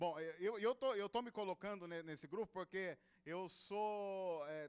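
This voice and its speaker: In a São Paulo interior accent, a man speaks at a fairly slow pace in a high voice with ordinary pitch variation, the sound dry and close with no echo. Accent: caipira accent of inland São Paulo. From interior of São Paulo state, Brazil. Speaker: pastor. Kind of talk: sermon. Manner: informal and humorous.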